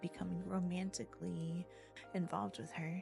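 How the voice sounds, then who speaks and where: A soft-spoken, whispering voice with a soothing tone moves at a moderate pace. Music plays in the background. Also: woman. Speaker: ASMR reader / streamer. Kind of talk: bedtime story reading, ASMR. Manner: soft, whispery, soothing.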